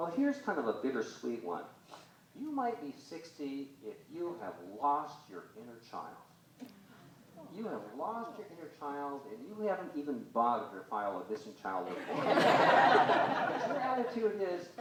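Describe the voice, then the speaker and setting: With an American accent, a man speaks at a moderate pace with big swings in loudness, amid audible room echo and noticeable background noise. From US Northeast. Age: 60s. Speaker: comedian. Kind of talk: stand-up. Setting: stage with audience.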